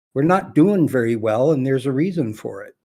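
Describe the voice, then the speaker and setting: A man uses a normal speaking voice at a medium pitch. His intonation is lively. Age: 60s. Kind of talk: casual chat. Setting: voice chat.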